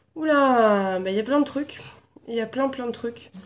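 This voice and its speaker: A woman speaks at a high pitch and a fairly slow pace with ordinary pitch variation. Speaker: beauty vlogger. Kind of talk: casual video tag chat. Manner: hesitant with many fillers.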